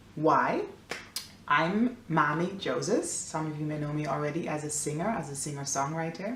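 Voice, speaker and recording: A woman's very deep, low voice in an American accent, with ordinary pitch variation, audible room echo and noticeable background noise. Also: moderate pace. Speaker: singer-songwriter and beauty vlogger. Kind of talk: makeup tutorial. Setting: at home, near the fridge. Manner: chatty, casual.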